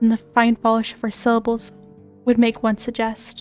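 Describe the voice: Simple, plain reading aloud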